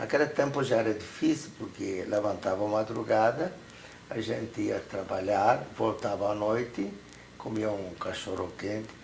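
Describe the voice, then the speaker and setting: In a Hungarian accent, a man with a fairly low pitch and ordinary pitch variation speaks at a fairly slow pace amid noticeable background noise and audible room echo. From Hungary. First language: Hungarian (speaking Portuguese). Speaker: Holocaust survivor. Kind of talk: testimony interview.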